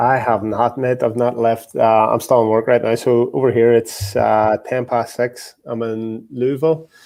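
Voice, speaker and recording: In an Irish accent, a man with a dark, mellow tone talks at a moderate pace and a medium pitch. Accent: Irish twang. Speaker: football coach. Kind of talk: casual chat.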